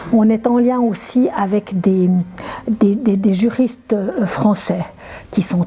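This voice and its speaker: Over noticeable background noise, a woman speaks very slowly at a medium pitch with fairly even intonation. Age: 70s. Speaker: climate activist. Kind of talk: interview. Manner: halting, many repetitions.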